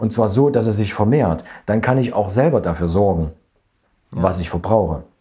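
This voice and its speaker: The man's voice is somewhat breathy. It carries a dark, mellow tone. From East Germany. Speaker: author and coach. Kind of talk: casual interview.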